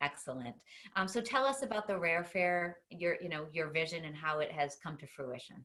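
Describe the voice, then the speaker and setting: Speaking with a Boston accent, a woman has a fairly low pitch and a bright, sharp tone. Her intonation is lively. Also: moderate pace. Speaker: talk show host. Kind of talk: interview.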